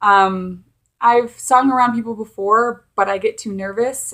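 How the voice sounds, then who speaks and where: A woman with an unremarkable speaking voice talks at a fairly slow pace with fairly even intonation on a very clean recording with a silent background. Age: 20s. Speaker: vlogger. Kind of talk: casual chat.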